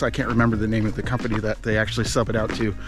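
There is clear music in the background. A man speaks, and the sound is dry with no echo. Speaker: vlogger. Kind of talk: casual vlog chat. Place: forest. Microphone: phone near.

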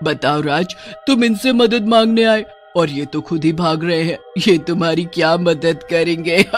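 Over clear music in the background, a man shouts in a cartoonish character voice at a high pitch and a moderate pace. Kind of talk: cartoon horror villain. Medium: audio drama. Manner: shouting, hungry; menacing, taunting.

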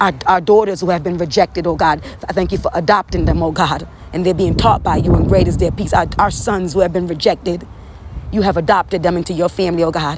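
A woman with a fairly low pitch speaks at a very fast pace and with fairly even intonation, the sound dry with no echo but with noticeable background noise. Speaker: prayer leader. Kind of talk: fervent prophetic prayer, intercessory, declaring scripture aloud. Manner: impassioned, earnest, rhythmic repetition. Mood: earnest, fervent. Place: home room. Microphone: phone near.

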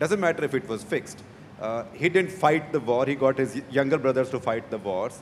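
A man with an Indian accent speaks at a fairly quick pace with lively intonation. Light background noise is present. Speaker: journalist. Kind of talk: panel discussion. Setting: stage with audience. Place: hall. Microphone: handheld.

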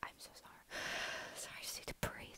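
Whispering is how this woman delivers her words. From Scotland. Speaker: ASMR and comedy YouTuber. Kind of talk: ASMR rambling to camera. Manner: whispered, soft, rambling. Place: home room. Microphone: earbuds.

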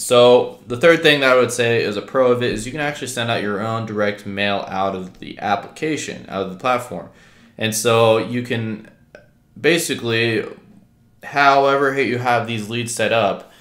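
In a room with audible echo but a quiet background, a man speaks at a moderate pace with ordinary pitch variation. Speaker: real estate wholesaling vlogger. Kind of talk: casual vlog chat, software review. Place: home room.

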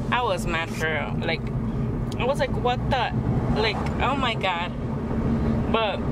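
A woman speaks at a fairly slow pace. Loud background noise is heard, and the sound is dry, with no echo. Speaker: vlogger. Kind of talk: casual vlog chat. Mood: chatty, amused, slightly exasperated. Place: car. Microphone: phone near.

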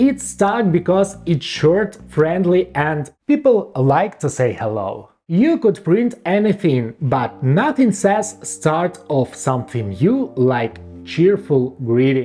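A man speaks at a very slow pace in a playful tone, with hardly any pauses. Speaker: programmer and tech explainer. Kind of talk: casual tech explainer video narration. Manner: playful, humorous. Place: home room. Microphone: lapel.

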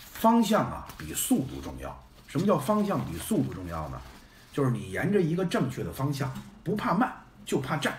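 Big swings in loudness run through this man's speech. Light background noise and audible room echo are present. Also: moderate pace. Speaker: live streamer. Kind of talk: casual live-stream chat. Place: home room. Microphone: phone near.

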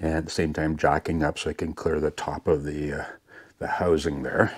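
With a quiet background behind him, a man speaks at a moderate pace. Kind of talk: tutorial. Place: garage. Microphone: phone near.

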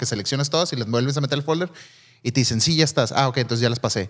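A man with a Mexican accent over a quiet background. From Mexico. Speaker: photographer and videographer podcast co-host; videographer podcast co-host. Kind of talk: casual chat. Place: studio. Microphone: studio mic.

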